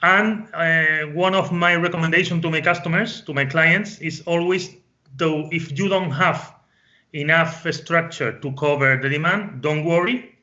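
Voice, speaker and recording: Speaking fairly slowly with a Spanish accent, the man has a high voice and fairly even intonation. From Spain. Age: 40s. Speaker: business consultant. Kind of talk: interview. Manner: halting, with many fillers and repetitions.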